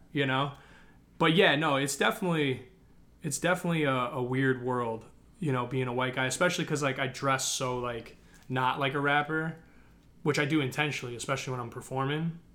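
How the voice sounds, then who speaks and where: A man with a Midwestern American accent, a bright, sharp tone and a fairly quick pace. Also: fairly even intonation. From Chicago suburbs, Illinois. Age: 20s. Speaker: hip hop artist. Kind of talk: casual interview.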